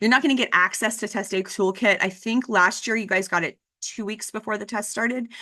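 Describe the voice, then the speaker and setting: Against a quiet background, a woman with an American accent talks at a fairly quick pace with a bright, sharp tone and fairly even intonation. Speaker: district testing coordinator. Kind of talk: staff training presentation. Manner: fast.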